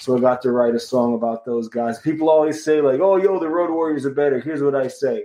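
A man with a fairly high pitch races along at a very fast pace, with hardly any pauses and ordinary pitch variation. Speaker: punk musician. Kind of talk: casual interview.

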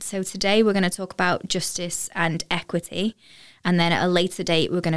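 A woman with a plain, everyday voice, pitched fairly low and talking at a fairly quick pace. Her intonation stays fairly even on a very clean recording with a silent background. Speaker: podcast host.

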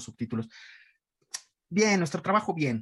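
This man speaks. His voice is somewhat breathy. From Mexico City (Iztapalapa). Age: 40s. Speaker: voice actor and dubbing director. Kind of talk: casual interview.

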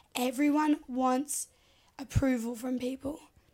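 A woman's high, monotone, flat voice with an Australian accent. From Australia, Sydney. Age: 20s. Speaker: reality TV contestant and social media personality. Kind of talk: casual interview.

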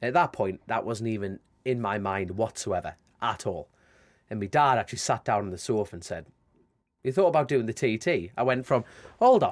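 A medium-pitched man with a strong Geordie accent, fairly quick pace, lively intonation and long, frequent pauses, on a very clean recording with a silent background. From northern England, Newcastle area. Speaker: motorcycle road racer. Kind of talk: casual interview chat.

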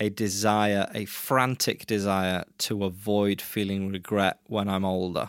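A man with an English accent, fairly low in pitch, monotone and flat, at a fairly slow pace with hardly any pauses. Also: very clean recording, silent background. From England. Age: 30s. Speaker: musician. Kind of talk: casual chat.

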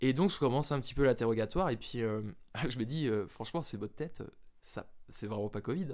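A man's plain, everyday voice at a medium pitch. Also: lively intonation, fairly quick pace. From France, Jura. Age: 20s. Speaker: medical student. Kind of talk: casual chat.

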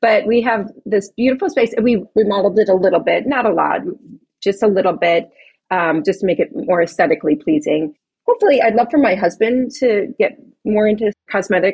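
At a fairly quick pace, a woman with an American accent speaks in a somewhat breathy, fairly high voice, her intonation lively and her loudness very even. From Chicago. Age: 40s. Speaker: esthetician and spa owner. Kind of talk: interview.

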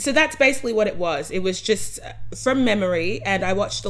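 At a fairly quick pace, a woman talks in an Australian accent with ordinary pitch variation. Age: 20s. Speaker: podcast co-host. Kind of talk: casual chat.

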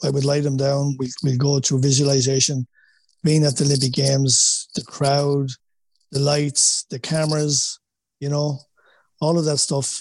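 A man with a strong Wexford Irish accent speaks at a moderate pace and a fairly high pitch, somewhat breathy and monotone, flat in intonation. The sound is dry and close with no echo, and his pauses are long and frequent. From Ireland, Wexford. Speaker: boxing coach. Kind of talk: interview.

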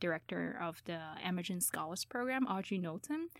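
On a very clean recording with a silent background, a woman with a Chinese accent speaks in a medium pitch with ordinary pitch variation. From China. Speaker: PhD student in molecular biology. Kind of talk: radio interview.

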